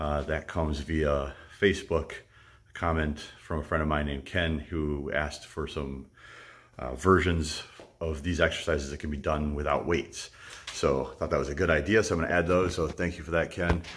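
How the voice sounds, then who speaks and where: A man with a very deep, low pitch and vocal fry speaks at a moderate pace with fairly even intonation. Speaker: fitness vlogger. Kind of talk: casual vlog chat. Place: garage. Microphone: phone near.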